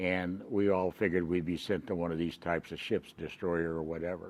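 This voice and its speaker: A man with an American accent and a very deep, low pitch, at a moderate pace. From California. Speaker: war veteran. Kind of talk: oral history interview. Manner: halting.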